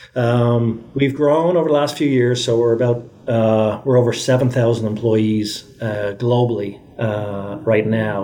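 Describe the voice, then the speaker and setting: Spoken with an Irish accent, the delivery keeps a moderate pace and ordinary pitch variation. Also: man. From Ireland. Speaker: tech executive. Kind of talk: interview.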